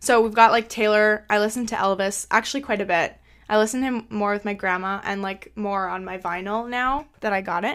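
A woman's fairly high voice, an unremarkable speaking voice, at a fairly quick pace with hardly any pauses and fairly even intonation, on a very clean recording with a silent background. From Canada. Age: 20s. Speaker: podcast host. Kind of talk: casual chat.

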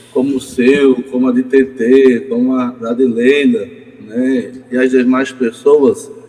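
Noticeable background noise accompanies a man whose medium-pitched voice shows ordinary variation. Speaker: poet. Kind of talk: casual chat. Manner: halting.

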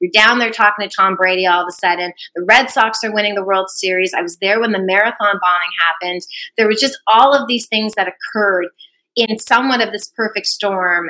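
This is an ordinary speaking voice, a woman's at medium pitch with a Canadian accent. She talks at a fairly quick pace with ordinary pitch variation. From Canada. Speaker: sports broadcaster. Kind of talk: interview.

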